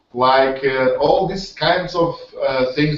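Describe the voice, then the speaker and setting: A man talks with a Portuguese accent. His pace is fairly slow. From Portugal. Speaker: webinar host, network marketer. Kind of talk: online hangout presentation. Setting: video call. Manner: halting, many fillers and repetitions.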